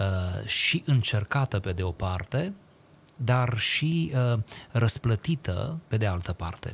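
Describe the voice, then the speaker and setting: At a very slow pace, a man speaks in a somewhat breathy voice. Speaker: radio talk show guest. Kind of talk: interview answer, lecture-like explanation. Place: studio. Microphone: studio mic.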